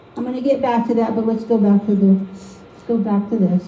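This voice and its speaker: A fairly high-pitched woman's voice with audible room echo and noticeable background noise. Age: 50s. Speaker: artist giving a painting demo to an art league. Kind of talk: live painting demo with personal testimony. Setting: meeting room with live audience.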